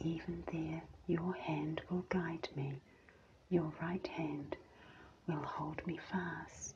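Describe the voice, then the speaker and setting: A soft-spoken voice with a gentle tone at a very slow pace, amid noticeable background noise. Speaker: scripture reader. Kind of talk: devotional scripture reading. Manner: soft-spoken, gentle ASMR reading.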